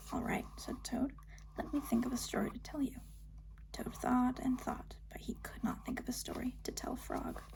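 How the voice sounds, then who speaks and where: Moderate pace over noticeable background noise. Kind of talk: ASMR bedtime book reading. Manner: soft-spoken, not whispered.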